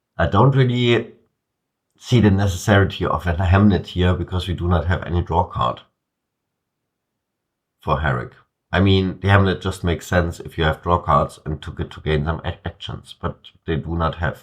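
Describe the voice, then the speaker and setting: A man speaks with a very deep, low pitch and a somewhat breathy sound. His pace is moderate, with ordinary pitch variation and long, frequent pauses. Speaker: card game commentator. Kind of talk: game commentary. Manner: hesitant, many filler words.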